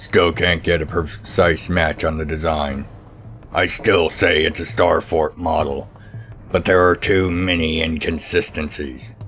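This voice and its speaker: A man puts on a character voice, very deep and low in pitch, speaking at a fairly slow pace over clear background noise. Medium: read story. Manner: clinical.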